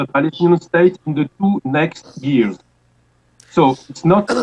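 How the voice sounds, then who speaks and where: Speaking at a very slow pace, a man with a strong French accent and a fairly high pitch uses lively intonation. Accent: heavy French. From France. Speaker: political commentator. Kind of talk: interview answer. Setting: internet call.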